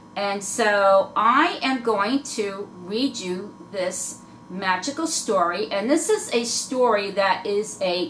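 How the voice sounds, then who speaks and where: Over noticeable background noise, a woman speaks at a medium pitch. Her pace is very slow and her intonation lively. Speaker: reborn doll collector vlogger. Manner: halting, trouble pronouncing words.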